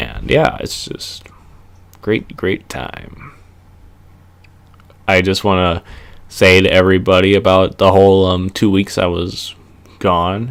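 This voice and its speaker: A man with a Minnesota accent speaks at a very deep, low pitch with ordinary pitch variation. His pace is very slow, with long, frequent pauses. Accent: Minnesota accent (regular voice). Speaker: wrestling reviewer, YouTuber. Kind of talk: casual vlog monologue. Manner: halting, many fillers.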